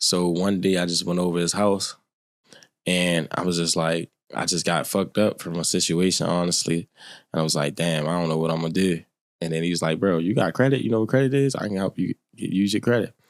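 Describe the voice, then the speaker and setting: In a very clean recording with a silent background, a man with a very deep, low pitch speaks at a fairly quick pace with ordinary pitch variation. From Baltimore, US. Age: 20s. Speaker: credit repair consultant. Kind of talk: casual podcast interview.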